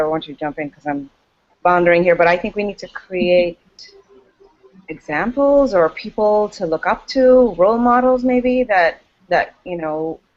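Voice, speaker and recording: An unremarkable speaking voice from a woman, medium-pitched, with lively intonation and a moderate pace. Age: 30s. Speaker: educator. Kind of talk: casual discussion.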